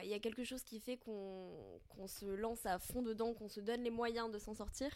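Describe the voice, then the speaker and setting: A woman talks at a fairly quick pace and a fairly high pitch, keeping her intonation fairly even. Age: 20s. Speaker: podcast guest sharing eating disorder recovery. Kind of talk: casual conversation, personal testimony. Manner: halting, many fillers.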